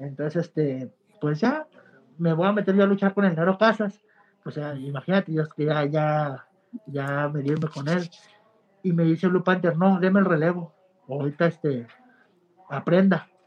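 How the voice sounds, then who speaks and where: This man has a high voice and a Mexican accent, with ordinary pitch variation. He moves at a moderate pace, broken by long, frequent pauses. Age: 20s. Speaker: professional wrestler. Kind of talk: interview.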